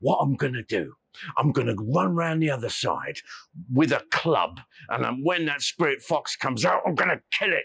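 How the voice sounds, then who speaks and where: A man's put-on character voice at a medium pitch, lively in intonation, at a moderate pace, with a dry, close sound and no echo. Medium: read story. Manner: blustering, coarse.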